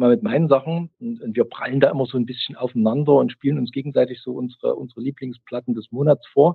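A man speaks fairly quickly in a normal speaking voice, his medium-pitched tone showing ordinary variation. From East Germany, Chemnitz. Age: 50s. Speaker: music podcaster. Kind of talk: casual chat.

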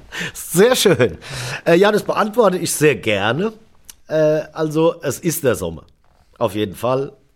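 Very slow delivery with long, frequent pauses, very wide pitch swings and vocal fry. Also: man. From Germany, Darmstadt (Hesse). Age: 40s. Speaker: drummer. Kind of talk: casual chat.

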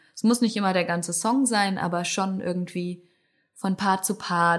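Speaking fairly slowly, the woman uses a fairly low pitch. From northern Germany. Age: 20s. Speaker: musician. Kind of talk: interview.

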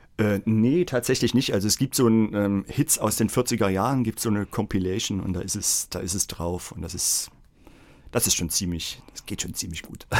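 With an unremarkable speaking voice, a man talks at a moderate pace and fairly low pitch, showing ordinary pitch variation, in a very clean recording with a silent background. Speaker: music school director and children's songwriter. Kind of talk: casual chat. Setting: studio.

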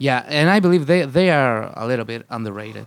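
Very fast speech from a man with a Spanish accent, on a very clean recording with a silent background. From Chile. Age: 30s. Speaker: punk rock musician. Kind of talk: casual interview. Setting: festival radio studio.

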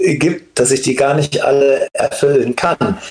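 Noticeable background noise fills the recording of a man talking. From Germany, Siegen. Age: 40s. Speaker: worship leader. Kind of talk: casual chat.

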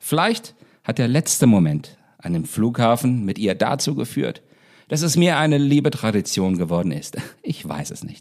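A man speaks at a moderate pace in a medium pitch, his voice swinging very widely up and down. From northern Hesse, Germany. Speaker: singer-songwriter and podcast host. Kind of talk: personal storytelling monologue. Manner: formal.

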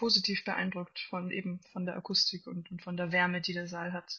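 A woman speaks at a moderate pace and medium pitch in an unremarkable speaking voice. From Austria, Salzburg. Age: 20s. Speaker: classical cellist. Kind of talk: interview.

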